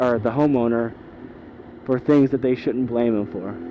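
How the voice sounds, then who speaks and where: A man talks over noticeable background noise. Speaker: motorcycle vlogger. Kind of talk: rant. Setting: riding a motorcycle outdoors. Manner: loud; animated.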